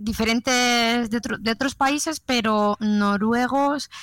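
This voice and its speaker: An unremarkable speaking voice at a fairly slow pace, with ordinary pitch variation. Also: woman. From Spain. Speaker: nurse. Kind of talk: casual chat.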